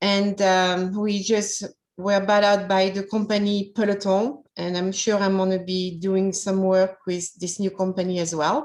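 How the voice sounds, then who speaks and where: Barely pausing, a woman with a French accent talks at medium pitch in a monotone, flat manner. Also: fairly slow pace. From France. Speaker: localization manager. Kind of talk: personal career story talk.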